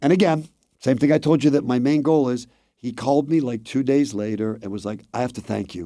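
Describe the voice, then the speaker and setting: A man with an American accent speaks at a fairly quick pace. His medium pitch has a dark, mellow tone and ordinary pitch variation. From South Florida (Fort Lauderdale). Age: 60s. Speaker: real estate agent. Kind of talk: interview. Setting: studio. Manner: talkative.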